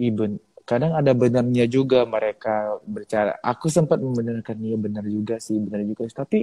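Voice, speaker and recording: Using a normal speaking voice, a man talks at a medium pitch and a fairly quick pace with ordinary pitch variation. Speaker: singing competition finalist. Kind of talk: interview. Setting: live video stream.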